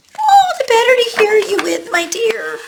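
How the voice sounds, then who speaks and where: A put-on character voice, extremely high-pitched, squeaky and hoarse, at a moderate pace. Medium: read story. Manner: sly, put-on softness.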